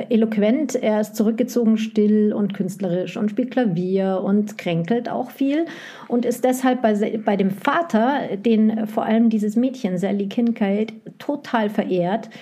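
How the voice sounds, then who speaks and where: Very slow speech with ordinary pitch variation and noticeable background noise. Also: woman. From West Germany. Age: 40s. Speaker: publisher's sales rep, former bookseller. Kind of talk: casual chat.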